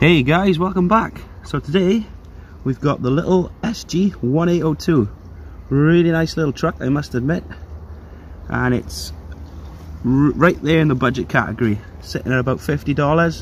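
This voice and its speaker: The intonation is lively, the voice somewhat breathy, with long, frequent pauses. The sound is dry with no echo, over light background noise. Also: man. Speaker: toy car reviewer. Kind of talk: product review commentary. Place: forest. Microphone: phone near.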